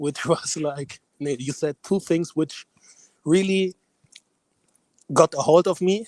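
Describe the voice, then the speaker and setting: Here a man speaks with a German accent, high-pitched and with ordinary pitch variation. He goes at a fairly slow pace, and the sound is dry and close with no echo. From Germany. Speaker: caller. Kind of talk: casual chat. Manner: halting.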